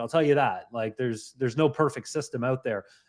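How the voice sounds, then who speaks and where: This speaker has a slight Canadian accent. The intonation is lively. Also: man. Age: 50s. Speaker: mindset coach. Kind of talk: casual interview chat.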